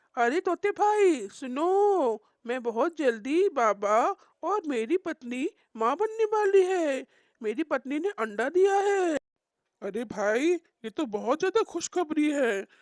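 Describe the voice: This cartoonish character voice is high-pitched, with very wide pitch swings. It moves at a fairly slow pace.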